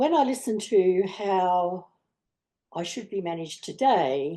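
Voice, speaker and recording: Against a quiet background, a woman with an Australian accent speaks at a fairly slow pace and a medium pitch, in a dark, mellow tone with lively intonation. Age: 70s. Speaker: asthma patient advocate on a panel. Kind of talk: panel discussion.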